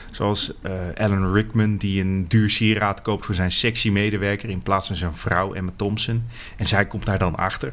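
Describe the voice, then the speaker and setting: Speaking at a moderate pace, a man uses a fairly low pitch. His intonation stays monotone and flat. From Netherlands, fishing village. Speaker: podcast co-host, film reviewer. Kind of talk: casual chat.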